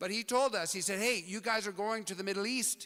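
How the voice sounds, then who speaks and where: Raised and projected, the voice has a bright, sharp tone and an American accent, moving at a fairly quick pace. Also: man. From US Pacific Northwest, Portland, Oregon. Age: 60s. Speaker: speaker at community event. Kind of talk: talk to audience.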